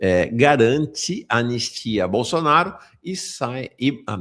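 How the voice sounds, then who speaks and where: A man with vocal fry and lively intonation is heard in a very clean recording with a silent background. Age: 60s. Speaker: political news commentator. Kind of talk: live political news commentary. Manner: animated, indignant.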